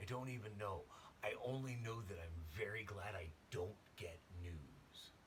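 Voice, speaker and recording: The voice is quiet and moves at a fairly slow pace. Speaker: vlogger. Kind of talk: casual monologue to camera. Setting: at home at night. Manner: quiet, hushed; rambling, halting.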